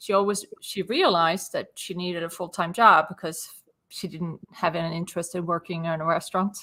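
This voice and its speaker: A woman with a Swedish accent speaks at a fairly quick pace in a fairly low, monotone voice with a bright, sharp tone. The recording is very clean, with a silent background. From Sweden. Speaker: business owner and property consultant. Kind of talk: interview.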